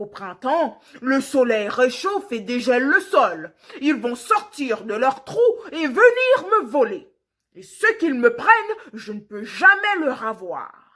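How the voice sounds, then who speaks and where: Using a put-on character voice, a woman growls in a high pitch with very wide pitch swings. She speaks at a fairly slow pace. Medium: read story. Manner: gentle, warm.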